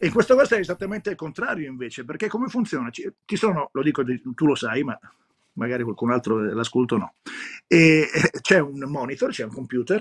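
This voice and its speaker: A man's fairly high voice with very wide pitch swings against a quiet background. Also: moderate pace. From Rome, Italy; Italy. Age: old. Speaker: radio DJ. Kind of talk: interview. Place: home room. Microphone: video call.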